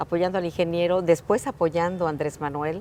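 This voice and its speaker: A woman's fairly low voice, a normal speaking voice, with fairly even intonation and a fairly quick pace on a very clean recording with a silent background. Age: 60s. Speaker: politician, mayor. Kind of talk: interview.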